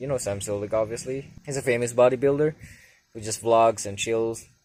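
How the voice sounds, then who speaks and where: A man's fairly low voice moves at a moderate pace, his intonation fairly even. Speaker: vlogger. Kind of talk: casual vlog monologue. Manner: halting, stumbling on words.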